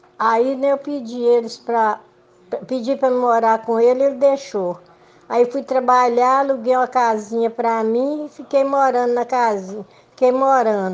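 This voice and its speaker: High in pitch, a woman speaks with fairly even intonation. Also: moderate pace. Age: 80s. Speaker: elderly community resident telling life story. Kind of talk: personal testimony. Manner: halting, repeats words.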